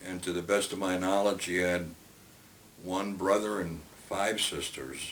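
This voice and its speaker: Long, frequent pauses break up a man's very deep, low voice, delivered at a fairly slow pace in a monotone, flat intonation with audible room echo. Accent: American. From Brooklyn, New York. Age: 80s+. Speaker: retiree telling life story. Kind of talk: oral history interview. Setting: at home. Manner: halting with many fillers.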